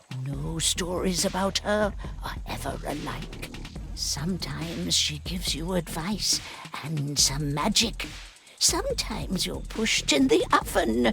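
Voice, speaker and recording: A put-on character voice delivers the lines at a fairly slow pace. Clear music plays in the background. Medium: video game. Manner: warm, rhyming folk-tale telling.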